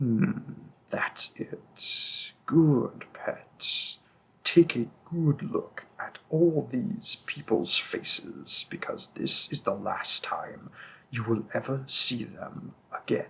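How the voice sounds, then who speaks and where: The delivery is very slow. It comes from a man using a put-on character voice. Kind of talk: audio roleplay. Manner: cold, mocking, threatening.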